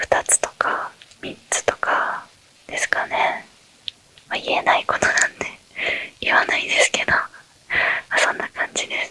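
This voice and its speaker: Whispering in a relaxed tone at a moderate pace, a woman leaves long, frequent pauses over noticeable background noise. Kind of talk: ASMR Q&A talk. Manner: whispered; relaxed, soft-spoken.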